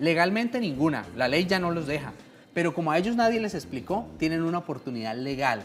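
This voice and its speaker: Moving at a fairly quick pace, a woman with a fairly low pitch makes very wide pitch swings. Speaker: pension lawyer. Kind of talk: radio legal advice segment.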